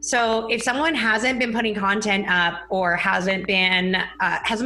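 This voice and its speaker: Amid noticeable background noise and audible room echo, a woman speaks at a fairly high pitch with lively intonation. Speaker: Instagram marketing business founder. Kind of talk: casual interview. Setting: live stream. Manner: fast.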